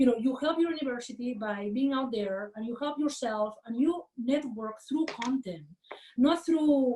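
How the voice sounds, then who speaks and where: Her pitch is high for a woman and her tone dark and mellow, with ordinary pitch variation as she speaks at a moderate pace. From Catalonia, Spain (Barcelona). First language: Catalan/Spanish. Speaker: management professor. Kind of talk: interview. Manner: many fillers and false starts.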